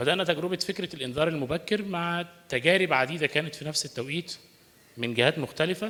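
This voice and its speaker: A man's fairly high, bright and sharp voice with an Arabic accent, at a fairly quick pace with ordinary pitch variation. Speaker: climate researcher. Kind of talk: panel presentation.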